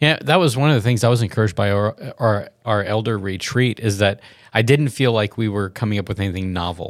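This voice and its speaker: Speaking very fast with an American accent, a man with a fairly low pitch is heard on a very clean recording with a silent background. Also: ordinary pitch variation. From US South. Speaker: pastor. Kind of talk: casual chat.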